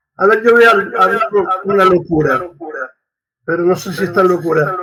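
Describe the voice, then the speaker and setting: At a moderate pace, a man projects a raised voice in a high pitch with fairly even intonation. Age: 70s. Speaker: priest and radio host. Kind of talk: interview conversation.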